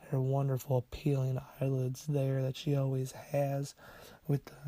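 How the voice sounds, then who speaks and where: Over a silent background in a very clean recording, a man's fairly high, somewhat breathy voice has a dark, mellow tone and a playful delivery. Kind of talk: casual humorous voiceover commentary on a makeup video. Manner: playful, unsure, joking.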